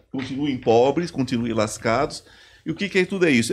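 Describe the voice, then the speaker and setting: This man's pitch shows ordinary variation. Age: 50s. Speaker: psychoanalyst and spiritual therapist; podcast guest. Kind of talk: casual chat. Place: studio. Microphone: studio mic.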